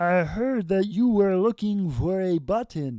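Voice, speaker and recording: A man speaks at a fairly slow pace in a high, put-on character voice with lively intonation, recorded very cleanly against a silent background. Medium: read story.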